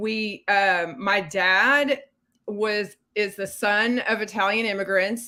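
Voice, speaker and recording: Delivered at a very slow pace with an American accent, the bright, sharp voice sits on a very clean recording with a silent background. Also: woman, medium pitch for a woman. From West Texas. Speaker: mystery author. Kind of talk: casual chat. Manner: animated.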